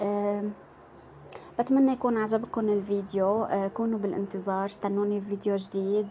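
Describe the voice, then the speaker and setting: A woman with an Aleppo accent talks at a moderate pace, her pitch medium. Her tone is dark and mellow, her intonation monotone and flat. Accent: Syrian Arabic, Aleppo. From Syria, Aleppo. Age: 20s. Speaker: vlogger. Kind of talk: casual vlog introduction. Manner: halting, many fillers.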